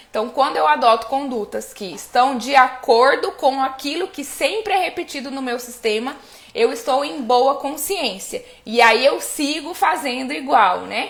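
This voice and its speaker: A woman's high-pitched voice with lively intonation, big swings in loudness and a fairly slow pace, over noticeable background noise. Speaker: family constellation coach. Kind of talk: live stream talk. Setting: live stream.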